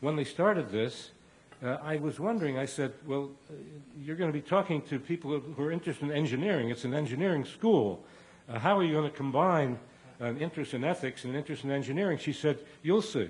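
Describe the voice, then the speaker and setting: Fairly quick, lively speech from a man with a somewhat breathy, fairly high voice and an American accent. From Cincinnati, Ohio, US Midwest. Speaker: professor. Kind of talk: memoir talk to an audience. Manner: halting, many filler words.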